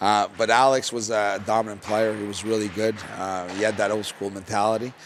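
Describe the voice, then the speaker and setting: A man with a Quebec accent talks at a fairly quick pace in a fairly low pitch. His intonation is monotone and flat, with noticeable background noise behind him. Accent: French-Canadian accent in English. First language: French. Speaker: junior hockey head coach, former pro player. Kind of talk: podcast interview. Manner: hesitant, many fillers and repetitions.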